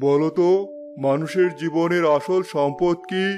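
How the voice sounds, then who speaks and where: This cartoonish character voice moves along at a moderate pace. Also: man. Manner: authoritative.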